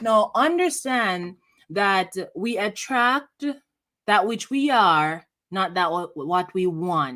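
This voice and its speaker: Over a silent background in a very clean recording, a woman with a bright, sharp tone at medium pitch speaks very slowly, her pitch swinging very widely. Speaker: breakup recovery coach, show host. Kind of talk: motivational talk. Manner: passionate, animated.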